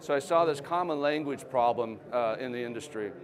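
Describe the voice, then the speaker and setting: A man at a moderate pace with ordinary pitch variation, in audible room echo amid noticeable background noise. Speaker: company founder and CEO giving a talk. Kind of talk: conference presentation. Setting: trade show stage with audience.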